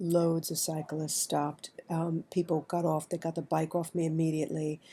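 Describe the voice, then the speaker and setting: A dark, mellow voice with a New York accent, flat and monotone, on a very clean recording with a silent background. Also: woman. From New York City. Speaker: writer, vlogger. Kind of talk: personal storytelling monologue. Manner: conversational, halting with fillers.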